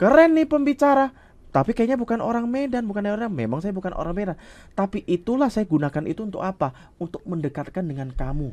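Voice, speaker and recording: Very wide pitch swings mark this man's high-pitched voice as he speaks at a very fast pace. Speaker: communication coach, public speaking trainer. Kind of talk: talk show interview.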